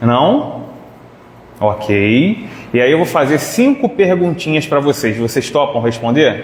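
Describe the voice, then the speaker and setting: A man's very slow speech with very wide pitch swings, amid noticeable background noise and audible room echo. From Rio de Janeiro, Brazil (Irajá). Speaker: spiritist lecturer. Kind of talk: lecture. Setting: hall with live audience. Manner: loud; animated.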